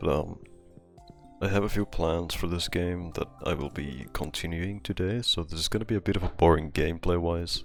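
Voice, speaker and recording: Music is playing in the background. Over it, a man talks in a very deep, low pitch. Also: ordinary pitch variation, moderate pace. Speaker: gaming content creator. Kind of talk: casual rambling talk over gameplay.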